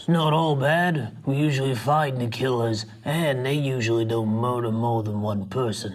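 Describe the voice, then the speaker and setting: A man uses a put-on character voice at medium pitch. He keeps a moderate pace with hardly any pauses. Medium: audio drama. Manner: teasing, blunt.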